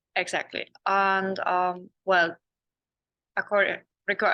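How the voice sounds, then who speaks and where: Against a quiet background, a woman with a German accent speaks at medium pitch in a bright, sharp tone. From Germany. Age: 20s. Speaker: exchange student. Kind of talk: student testimonial in webinar.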